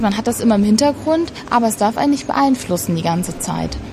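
A woman's fairly high voice amid noticeable background noise. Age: 20s. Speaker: federal police officer. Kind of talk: interview.

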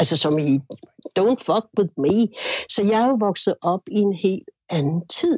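A somewhat breathy woman at medium pitch speaks very slowly with lively intonation and long, frequent pauses, the sound dry and close with no echo. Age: 60s. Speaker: musician. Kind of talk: casual chat.

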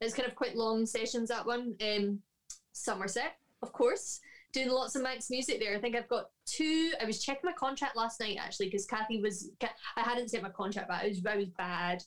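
A woman with a Scottish accent, fairly high in pitch, at a fairly quick pace. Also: ordinary pitch variation. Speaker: harpist and harp teacher. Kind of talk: casual interview chat.

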